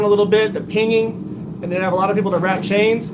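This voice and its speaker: A man with a Texan accent, high pitch and fairly even intonation, amid audible room echo and noticeable background noise. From Texas. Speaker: bladesmith livestreamer. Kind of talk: live stream chat while forging. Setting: home workshop. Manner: casual, conversational.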